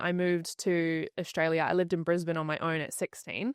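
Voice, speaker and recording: Over a quiet background, a woman with a New Zealand accent talks at a moderate pace with fairly even intonation, in a dry, close sound with no echo. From New Zealand, Rotorua. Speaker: podcast guest. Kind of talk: interview conversation.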